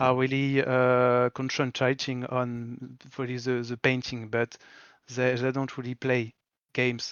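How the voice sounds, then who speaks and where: A man with a French accent at a fairly slow pace. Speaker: commission miniature painter. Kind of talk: casual interview. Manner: halting, searching for words.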